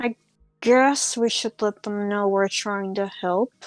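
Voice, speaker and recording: Using a put-on character voice that sounds strained, a woman speaks at a medium pitch and a fairly slow pace, the sound dry and close with no echo. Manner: through gritted teeth, strained, reluctant.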